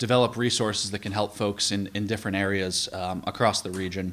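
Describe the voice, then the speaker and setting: A man with a fairly low pitch speaks in a monotone, flat way. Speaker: energy efficiency advocate. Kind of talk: presentation. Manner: fast; filler-heavy, hesitant.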